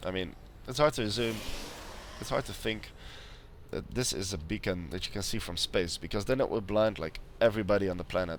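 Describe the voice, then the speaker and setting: A quiet man's voice, fairly low in pitch, with ordinary pitch variation, a fairly quick pace, and long, frequent pauses. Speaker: game commentator. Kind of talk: esports game commentary.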